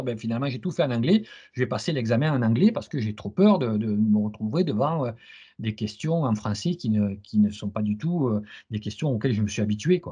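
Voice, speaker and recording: A somewhat breathy, dark, mellow male voice at a fairly quick pace with lively intonation. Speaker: CISSP trainer and interviewer. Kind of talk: interview. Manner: fast; stammering repetitions.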